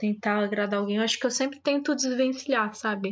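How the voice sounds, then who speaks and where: The woman has an unremarkable speaking voice with ordinary pitch variation. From São Paulo, Brazil. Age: 30s. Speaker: guest. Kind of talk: casual chat.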